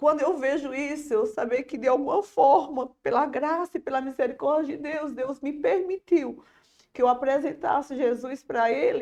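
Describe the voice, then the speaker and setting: A high-pitched woman's voice, dark and mellow, at a moderate pace with ordinary pitch variation. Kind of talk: religious testimony.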